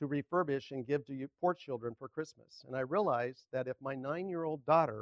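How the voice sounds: The speaker uses a natural reading voice, and the pitch varies in an ordinary way. Behind it, the background stays quiet.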